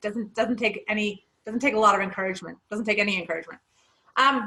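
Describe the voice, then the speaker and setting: This woman talks at a very fast pace with fairly even intonation. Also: fairly high pitch for a woman. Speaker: podcast co-host. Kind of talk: casual chat. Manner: loud.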